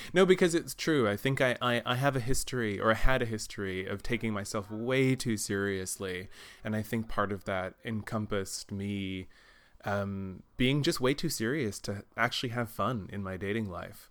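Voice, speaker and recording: Delivered at a moderate pace with an American accent. An ordinary speaking voice. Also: man, fairly low pitch for a man, ordinary pitch variation. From Texas. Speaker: yoga teacher and actor. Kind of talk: casual chat. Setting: remote call.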